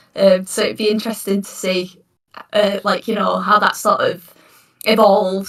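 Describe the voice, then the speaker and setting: A woman with a northern English accent, medium pitch, fairly even intonation and a fairly quick pace. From northern England. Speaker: D&D player. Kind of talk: casual chat.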